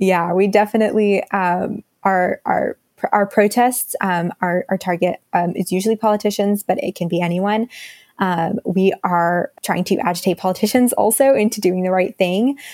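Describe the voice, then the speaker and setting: A woman's unremarkable speaking voice, medium in pitch, with an American accent. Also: moderate pace. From Texas, Dallas. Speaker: climate activist, communications staffer. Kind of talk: interview.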